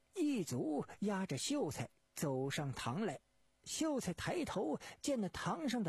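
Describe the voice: What we hear is plain reading aloud.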